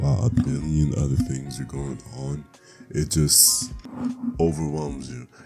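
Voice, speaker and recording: Backed by music in the background, a man with a very deep, low pitch speaks at a moderate pace. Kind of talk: casual talk to camera. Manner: casual, blunt, profane.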